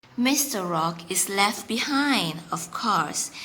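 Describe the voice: A woman talks slowly with lively intonation and a bright, sharp tone. Room echo is audible.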